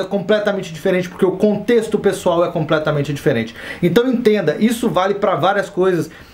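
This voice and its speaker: This man has a high pitch and ordinary pitch variation, talking at a fairly quick pace amid audible room echo and noticeable background noise. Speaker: stand-up comedian and comedy teacher. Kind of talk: online course lecture. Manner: casual, conversational.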